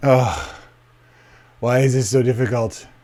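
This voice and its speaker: A man speaks at a medium pitch. The pitch shifts in an ordinary way. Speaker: writer and video blogger. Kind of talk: casual Q&A monologue. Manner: fillers, says um and uh often; tends to speak fast.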